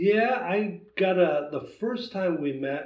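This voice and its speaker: A man with an American accent speaks in a somewhat breathy voice. His pitch swings very widely. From US Midwest, Wisconsin. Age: 60s. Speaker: traditional bowhunter. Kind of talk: casual chat.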